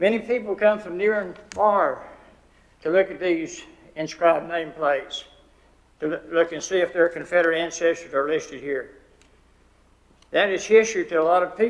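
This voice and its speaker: A man with a high voice and a western North Carolina accent, at a moderate pace with ordinary pitch variation. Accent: Southern US, western North Carolina. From US South. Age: 80s+. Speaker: public commenter. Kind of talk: public comment speech.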